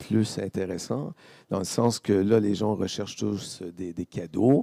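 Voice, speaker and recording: The speaker talks at a very slow pace in a Quebec accent, with a dark, mellow tone. The sound is dry and close with no echo, on a very clean recording with a silent background. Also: man. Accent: Québécois. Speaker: vendor of Canadian food products. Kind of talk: interview at a fair. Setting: live stream set at a fair. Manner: animated.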